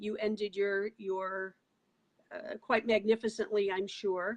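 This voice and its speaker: This woman has an unremarkable speaking voice, fairly high in pitch, and she speaks at a fairly slow pace. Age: 60s. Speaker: talk show host. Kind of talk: interview.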